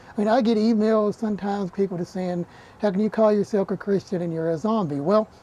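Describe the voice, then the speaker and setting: A speaker with an Appalachian accent talks at a very fast pace. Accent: Appalachian Southern US. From Eastern Kentucky, Appalachia. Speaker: television horror host. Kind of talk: documentary interview.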